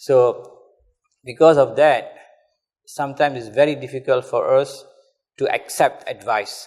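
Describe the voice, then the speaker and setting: A man with a Kelantan accent at a moderate pace. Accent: Malay English, Kelantan. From Malaysia, Kelantan. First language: Malay. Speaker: religious teacher. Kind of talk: lecture.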